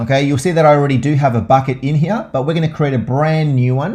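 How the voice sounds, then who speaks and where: A somewhat breathy voice with an Australian accent. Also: man. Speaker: tech tutorial presenter. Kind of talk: tutorial. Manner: casual, many filler uhs.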